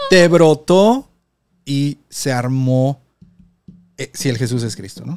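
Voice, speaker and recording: A man at a very slow pace with long, frequent pauses and big swings in loudness, music in the background, the sound dry and close with no echo. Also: fairly high pitch for a man, ordinary pitch variation. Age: 30s. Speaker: podcast host. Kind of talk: casual chat.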